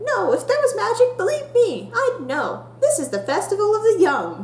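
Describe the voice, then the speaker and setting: A squeaky, put-on character voice at an extremely high pitch moves at a moderate pace over clear background noise. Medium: solo performance. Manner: impatient, eager.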